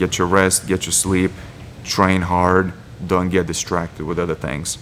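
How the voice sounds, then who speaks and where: A man with a Lithuanian accent, his voice very deep and low, his intonation flat and monotone, over noticeable background noise. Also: fairly slow pace. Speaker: MMA fighter. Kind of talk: interview monologue.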